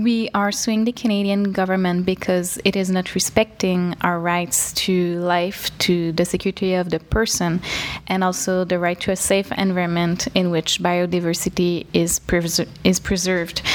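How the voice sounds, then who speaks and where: A woman in a Quebec accent, medium in pitch, with monotone, flat intonation, a moderate pace, very even loudness and hardly any pauses. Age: 20s. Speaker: NGO executive director. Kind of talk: interview. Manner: hesitant, many fillers.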